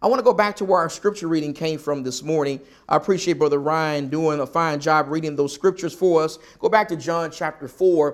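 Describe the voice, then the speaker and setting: In a very clean recording with a silent background, a man with a Southern US accent and fairly high pitch talks at a fairly quick pace with ordinary pitch variation. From US South. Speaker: preacher. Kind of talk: sermon. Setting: church.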